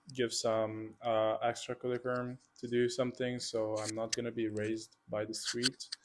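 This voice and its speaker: With a Hungarian accent, a man talks at a moderate pace and medium pitch in a monotone, flat intonation. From Hungary, Budapest. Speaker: student athlete, water polo player. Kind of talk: interview.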